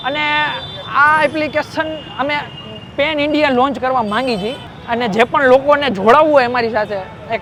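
Noticeable background noise surrounds a man speaking. His pitch varies in an ordinary way. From Gujarat, India (Morbi). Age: 20s. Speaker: startup founder. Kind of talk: interview.

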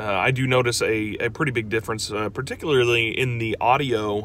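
A plain, everyday voice moves at a fairly quick pace with ordinary pitch variation. The sound is dry with no echo, over light background noise. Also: man. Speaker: vlogger. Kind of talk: casual vlog chat. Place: car. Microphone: phone near.

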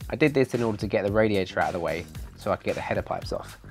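At a very fast pace, a man talks in a fairly low pitch over faint music in the background. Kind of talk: tutorial narration. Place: garage. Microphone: lapel.

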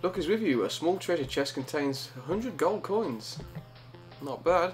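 Faint music plays behind a man with a Birmingham accent and a fairly high pitch. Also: moderate pace. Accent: Birmingham (Brummie). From Birmingham, England. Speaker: gamer. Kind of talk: casual let's play commentary. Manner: mumbling. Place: home room. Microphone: studio mic.

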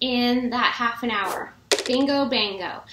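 A woman speaks in a raised, projected voice at a very slow pace. Room echo is audible. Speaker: fitness instructor. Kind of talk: casual vlog chat. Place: home room. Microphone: webcam.

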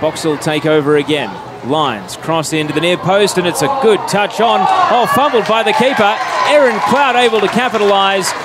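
An animated man with a high pitch makes very wide pitch swings at very even loudness, over noticeable background noise. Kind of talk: live sports commentary. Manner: fast, clipped play-by-play delivery; animated, rising excitement on goals.

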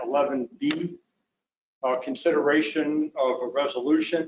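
This man's intonation stays fairly level as he speaks. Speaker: district attorney / legal counsel. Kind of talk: public board meeting. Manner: soft-spoken.

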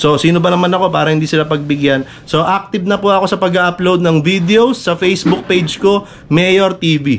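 Pitched high, a man's voice moves with ordinary pitch variation. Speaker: vlogger. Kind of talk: casual vlog chat. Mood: mock-sad, joking complaint.

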